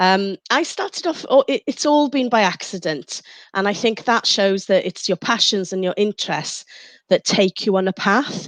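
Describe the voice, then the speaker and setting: Here a woman speaks with a Welsh accent. The sound is dry and close with no echo, and the background is quiet. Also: medium pitch for a woman, lively intonation, moderate pace. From Mid Wales. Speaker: radio presenter and DJ. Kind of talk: interview.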